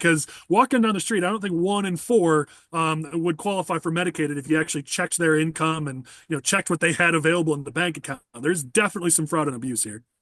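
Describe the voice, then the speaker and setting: A very fast delivery with an American accent and ordinary pitch variation, dry and close with no echo, over a quiet background. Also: man, fairly high pitch for a man. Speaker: podcast host. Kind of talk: political podcast discussion.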